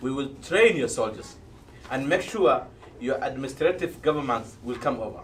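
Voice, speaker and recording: Audible room echo surrounds a man talking at a moderate pace with very wide pitch swings. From Somalia. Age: old. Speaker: debate panelist. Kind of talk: political debate.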